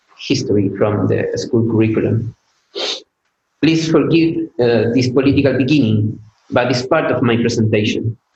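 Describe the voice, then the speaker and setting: With a non-native accent and ordinary pitch variation, a man speaks in a somewhat breathy voice. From Chile. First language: Spanish. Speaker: PhD student. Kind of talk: conference talk. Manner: halting, with fillers.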